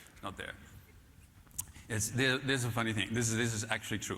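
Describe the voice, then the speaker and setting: With a Dutch accent, a man speaks in a recording that carries audible room echo. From Netherlands. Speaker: keynote speaker, author on management. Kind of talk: conference keynote. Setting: stage with audience. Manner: halting, many fillers.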